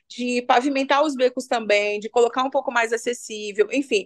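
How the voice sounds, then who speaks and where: An unremarkable speaking voice with fairly even intonation, set against a quiet background. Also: woman. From Brazil, Belo Horizonte favela. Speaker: community leader and cultural manager. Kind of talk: interview conversation.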